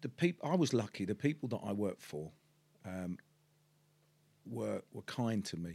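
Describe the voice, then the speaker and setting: With a Cockney accent, a man speaks at a moderate pace in a fairly low pitch and lively intonation. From East End of London. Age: 50s. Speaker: podcast host, property businessman. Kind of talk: casual interview chat. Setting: studio set in an office. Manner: hesitant, many fillers.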